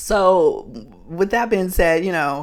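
On a very clean recording with a silent background, a woman speaks at a moderate pace. She has a normal speaking voice with a fairly low pitch. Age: 30s. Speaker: podcast host. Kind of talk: casual monologue. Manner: casual, filler-heavy.

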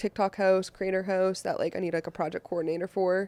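A woman with an American accent speaks at a fairly quick pace in a medium pitch. Her dark, mellow tone comes through in a dry, close sound with no echo. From Boston. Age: 20s. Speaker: events company founder. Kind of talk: casual chat.

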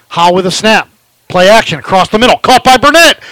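This man's raised, projected voice sits high, with very wide pitch swings, a bright, sharp tone and a dry, close sound with no echo. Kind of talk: live play-by-play football commentary. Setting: stadium, live broadcast from the press box.

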